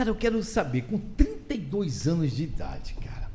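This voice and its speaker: Using an unremarkable speaking voice, a man keeps a moderate pace and a lively intonation. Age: 60s. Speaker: podcast host, journalist. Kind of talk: interview. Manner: casual.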